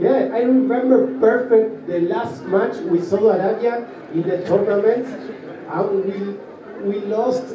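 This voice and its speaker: A man with a Spanish accent speaks at a fairly slow pace in a high voice, his pitch varying in an ordinary way, with audible room echo and noticeable background noise. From Argentina. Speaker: innovation park executive, panelist. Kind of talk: panel discussion. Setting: stage with audience.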